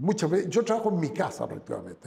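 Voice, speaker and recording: A man speaks with a Chilean accent and ordinary pitch variation. Noticeable background noise can be heard. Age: 70s. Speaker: businessman. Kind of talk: interview. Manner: halting.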